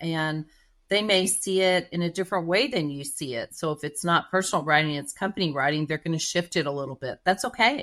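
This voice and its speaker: A woman with a Texas accent speaks at a fairly quick pace and fairly low pitch. Her intonation is lively, and the background is quiet. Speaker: writer and marketing manager, former journalist. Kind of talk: podcast interview.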